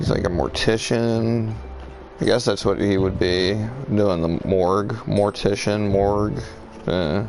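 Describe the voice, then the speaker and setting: A man talks at a fairly slow pace with ordinary pitch variation. Music plays in the background, and there is audible room echo. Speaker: gaming streamer. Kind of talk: live gameplay commentary. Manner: casual, halting with fillers.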